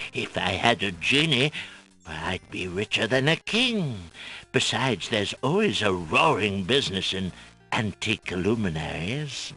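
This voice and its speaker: A man's put-on character voice, fairly low in pitch, with lively intonation at a moderate pace over faint background music. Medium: video game. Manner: jovial, salesman-like.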